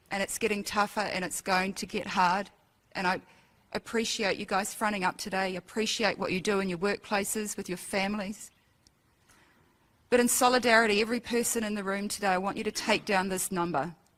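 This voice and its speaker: At a fairly quick pace, a woman with an Australian accent talks at a medium pitch with fairly even intonation. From Australia, Ipswich Queensland. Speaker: event emcee and educator. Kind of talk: closing remarks at public forum. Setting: auditorium with audience.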